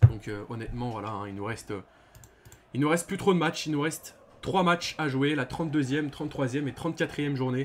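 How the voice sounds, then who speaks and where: This man's voice sits fairly high in pitch, with pitch variation that is ordinary. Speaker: football YouTuber, OM fan. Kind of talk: match review vlog. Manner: hesitant, many fillers; loud.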